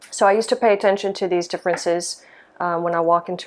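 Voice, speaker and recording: A woman with an American accent, fairly low in pitch, at a very fast pace. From US South, small-town Mississippi. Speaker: lighting designer. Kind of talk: interview monologue. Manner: hesitant, many fillers.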